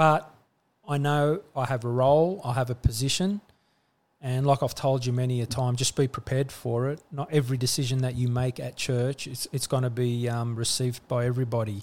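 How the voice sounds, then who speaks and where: Speaking with an Australian accent, a man moves at a fairly quick pace. His intonation stays fairly even. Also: medium pitch for a man. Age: 40s. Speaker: church leader and business owner. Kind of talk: casual chat.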